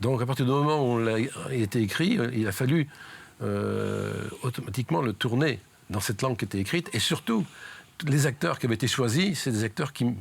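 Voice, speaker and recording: A man speaks at a moderate pace in a plain, everyday voice. His pitch is medium with ordinary variation, and his loudness stays very even. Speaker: amateur film club founder. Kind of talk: interview answer.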